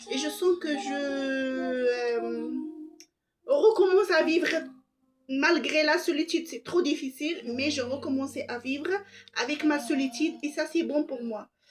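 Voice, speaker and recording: A woman with a non-native accent and a high pitch speaks very slowly, leaving long, frequent pauses. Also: ordinary pitch variation. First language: not French (speaking French). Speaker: vlogger. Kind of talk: personal monologue. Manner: soft-spoken; halting.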